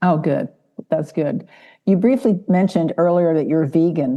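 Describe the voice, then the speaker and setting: An ordinary speaking voice from a woman, fairly low in pitch, with ordinary pitch variation. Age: 60s. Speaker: podcast host. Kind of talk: interview.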